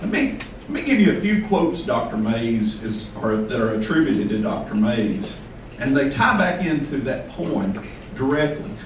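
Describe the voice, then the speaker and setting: Over noticeable background noise and audible room echo, a man in a Southern US accent speaks at a moderate pace, his fairly high pitch making very wide swings. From US South. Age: 60s. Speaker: invited speaker at a poetry event. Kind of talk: speech to a live audience.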